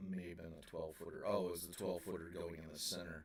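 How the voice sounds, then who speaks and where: A quiet man's voice with audible room echo. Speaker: operating engineer streamer. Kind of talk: live stream chat.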